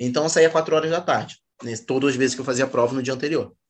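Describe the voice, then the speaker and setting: The man's pitch is fairly high. He talks at a very fast pace. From Rio de Janeiro, Zona Norte. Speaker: comedian. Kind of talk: casual chat.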